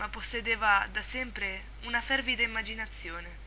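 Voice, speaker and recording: Noticeable noise sits in the background. A woman's speech moves at a moderate pace. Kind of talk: horror story reading.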